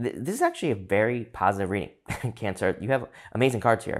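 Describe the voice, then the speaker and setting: The background is silent and the recording very clean. It is a man talking. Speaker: tarot reader. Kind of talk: tarot reading. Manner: fast.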